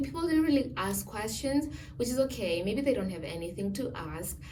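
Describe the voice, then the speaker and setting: Over noticeable background noise and audible room echo, a woman's voice moves through very wide pitch swings. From Namibia. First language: a Namibian home language. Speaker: student vlogger. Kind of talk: casual Q&A vlog. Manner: hesitant, many fillers.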